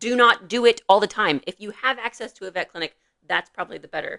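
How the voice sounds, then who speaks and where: Bright and sharp in tone, a woman's voice rises and falls widely in loudness with ordinary pitch variation, recorded dry and close with no echo. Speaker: veterinarian podcast co-host. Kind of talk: casual podcast chat. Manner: fast.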